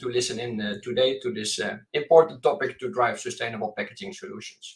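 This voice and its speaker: Speaking at a fairly quick pace, a man talks with a Dutch accent. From Netherlands. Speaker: venture capital investor. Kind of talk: panel discussion. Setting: remote call from home office.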